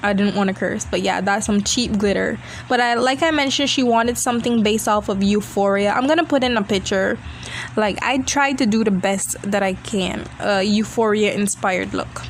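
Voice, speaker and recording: A woman at medium pitch and a moderate pace, with ordinary pitch variation, very even loudness, and noticeable background noise. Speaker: beauty vlogger. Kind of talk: video voiceover. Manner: casual chatty.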